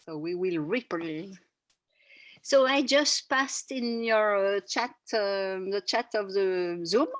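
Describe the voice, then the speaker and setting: Against a quiet background, a woman with a French accent speaks at a very slow pace and a medium pitch, with ordinary pitch variation. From France. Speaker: workshop facilitator. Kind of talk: guided workshop instructions. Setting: video call.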